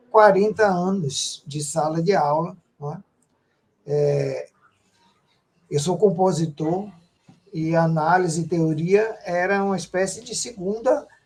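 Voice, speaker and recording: Very slow delivery with long, frequent pauses, big swings in loudness and ordinary pitch variation. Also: man, high pitch for a man. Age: 60s. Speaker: composer and retired music professor. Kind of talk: online interview. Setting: video call.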